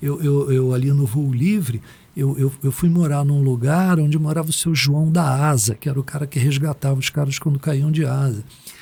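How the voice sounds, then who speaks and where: A man speaks at a moderate pace and a fairly high pitch, with very even loudness and fairly even intonation. His voice is somewhat breathy, with a dark, mellow tone. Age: 60s. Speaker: meditation teacher. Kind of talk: podcast interview. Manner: casual, slangy.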